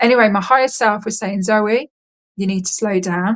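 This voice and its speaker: Speaking in an English accent, the woman has a medium-pitched voice. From England. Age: 30s. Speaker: contact experiencer. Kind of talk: interview testimony. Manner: fast.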